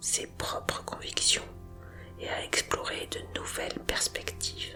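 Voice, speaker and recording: Whispering with a calm tone at a very slow pace, over music in the background. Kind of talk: whispered ASMR story narration with sounds and music. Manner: whispered, calm, comforting.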